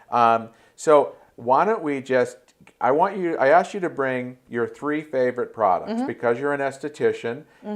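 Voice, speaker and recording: This man's pitch swings very widely as he talks fairly quickly, with background noise clearly noticeable. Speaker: talk show host. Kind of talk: interview host talk.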